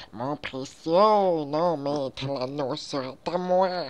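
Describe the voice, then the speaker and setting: A strained, guttural put-on character voice at a low-to-middle pitch and a very slow pace. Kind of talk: Quebec French.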